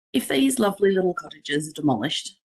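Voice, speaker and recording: A woman talks in an Australian accent. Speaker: city councillor. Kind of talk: council meeting debate.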